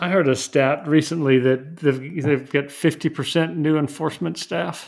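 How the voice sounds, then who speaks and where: In a normal speaking voice with an American accent, the speaker goes at a fairly slow pace with ordinary pitch variation. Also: man, fairly high pitch for a man. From West Texas. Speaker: lawyer. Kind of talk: casual chat.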